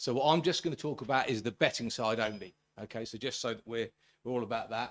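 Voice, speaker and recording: In a very clean recording with a silent background, a man with a British accent talks at a very fast pace with ordinary pitch variation. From Britain. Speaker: sports journalist and writer. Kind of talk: conference talk.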